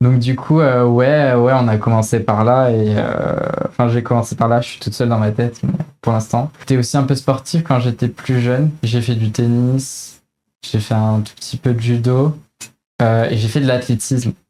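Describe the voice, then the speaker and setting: At a moderate pace, a woman speaks with a very deep, low pitch, a dark, mellow tone, and fairly even intonation. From France, Isère (near Grenoble). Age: 20s. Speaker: engineering student, association president. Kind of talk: interview. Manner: hesitant, many fillers.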